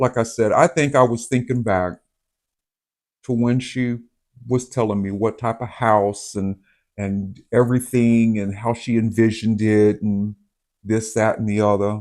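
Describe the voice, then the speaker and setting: With a Southern US accent, a man talks at a fairly slow pace and a medium pitch, his intonation monotone and flat, with long, frequent pauses in a very clean recording over a silent background. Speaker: vlogger. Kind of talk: casual chat. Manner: halting.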